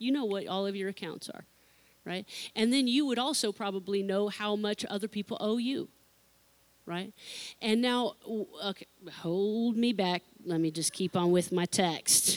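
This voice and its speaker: Moderate pace and ordinary pitch variation, broken by long, frequent pauses, in a dry, close sound with no echo. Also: woman, medium pitch for a woman. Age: 40s. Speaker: pastor. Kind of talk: sermon. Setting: church.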